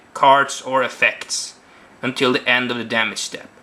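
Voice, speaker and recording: At a moderate pace, a man talks in a fairly high pitch with a non-native accent. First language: not English. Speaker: card game video reviewer. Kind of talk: casual video review. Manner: halting.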